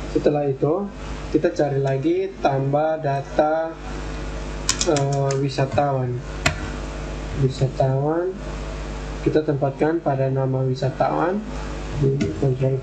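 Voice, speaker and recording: With noticeable background noise, a man speaks at a very slow pace with long, frequent pauses. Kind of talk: tutorial.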